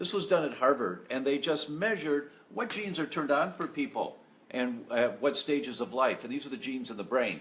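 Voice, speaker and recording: At a fairly quick pace, a man speaks with lively intonation and fairly high pitch. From Michigan, US. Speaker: doctor presenting health talks. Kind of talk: live-streamed health talk. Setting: Facebook Live broadcast from Italy. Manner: hesitant, many fillers.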